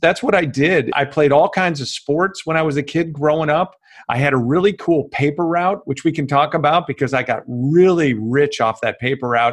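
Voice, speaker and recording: A man with an American accent and a plain, everyday voice speaks at a moderate pace with hardly any pauses, fairly high in pitch with ordinary pitch variation. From US Midwest, Chicago western suburbs. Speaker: former sportscaster and media consultant. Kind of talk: podcast interview.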